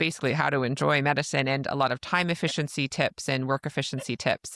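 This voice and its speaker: A woman with a Canadian accent speaks at a very fast pace. The sound is dry and close with no echo, on a very clean recording with a silent background. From Canada. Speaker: podcast host, family physician. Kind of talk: casual interview chat.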